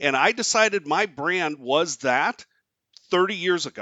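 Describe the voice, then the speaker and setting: This man has a high voice and an American accent. His intonation is lively and his tone energetic. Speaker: product marketing director. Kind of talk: podcast interview answer.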